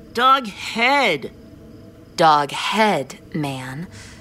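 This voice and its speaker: Fairly low-pitched woman's voice, anxious in tone, with very wide pitch swings. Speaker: story narrator. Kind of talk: horror fiction reading. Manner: tense, anxious.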